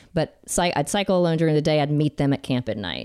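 A woman's very deep, low voice with an American accent and ordinary pitch variation, in dry, close sound with no echo and music in the background. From Alabama, US South. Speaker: cyclist. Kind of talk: casual chat. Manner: halting.

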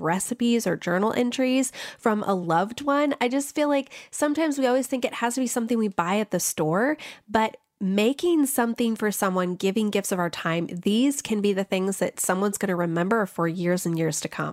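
The woman has an ordinary speaking voice with a fairly high pitch and lively intonation. She talks at a fairly quick pace with very even loudness. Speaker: personal finance blogger. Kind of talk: radio interview.

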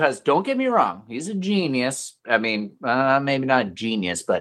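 With very wide pitch swings around a medium pitch, a man talks in an American accent on a very clean recording with a silent background. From Central Oregon, US. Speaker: fine artist. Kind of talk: casual interview.

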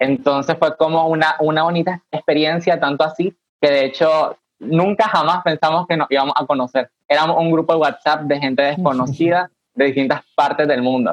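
With a plain, everyday voice, a man speaks at a fairly high pitch and a moderate pace, his loudness very even. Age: 20s. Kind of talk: casual virtual panel chat. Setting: video call.

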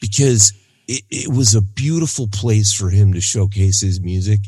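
Fairly low and somewhat breathy, a man's voice moves at a fairly slow pace. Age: 40s. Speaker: music podcast co-host. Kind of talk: casual chat.

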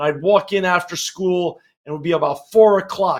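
In an American accent, a man with a high pitch speaks in an energetic tone. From New York City (Queens). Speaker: business executive. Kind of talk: interview.

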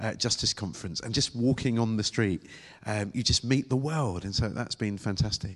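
The voice has an animated tone and a British accent. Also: man. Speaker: preacher. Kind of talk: sermon. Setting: church with congregation. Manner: animated, humorous.

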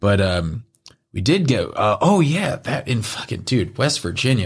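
Pitch swings very widely as a man speaks at a moderate pace in a somewhat breathy voice, recorded very cleanly against a silent background. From northern US. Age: 30s. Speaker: podcast guest. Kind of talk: casual chat.

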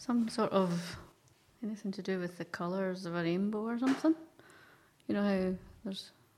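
At a moderate pace, a woman with a Scottish accent speaks in a medium pitch with ordinary pitch variation and long, frequent pauses. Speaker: quiz contestant, team captain. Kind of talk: casual banter in a quiz game. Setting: radio studio.

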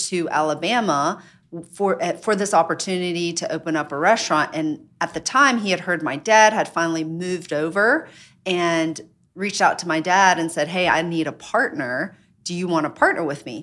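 A woman with an American accent has a plain, everyday voice, fairly low in pitch, with ordinary pitch variation. She speaks at a moderate pace in a very clean recording with a silent background. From US South. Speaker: restaurant owner. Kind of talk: casual interview chat.

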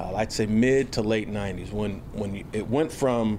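A man speaks at a fairly low pitch. The room echo is audible. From Houston, Texas. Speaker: football coach. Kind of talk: press conference Q&A. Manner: halting, many fillers and repeated words.

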